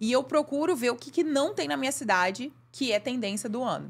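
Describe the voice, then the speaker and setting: Very wide pitch swings in a fairly high female voice. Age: 30s. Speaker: makeup artist and beauty course creator; beauty course creator. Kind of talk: casual chat. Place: studio. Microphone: studio mic.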